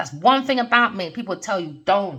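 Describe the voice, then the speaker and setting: A woman speaks loudly in a bright, sharp, animated tone, her pitch swinging very widely at a moderate pace. The recording is very clean, with a silent background. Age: 40s. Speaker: tarot reader. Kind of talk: tarot reading rant.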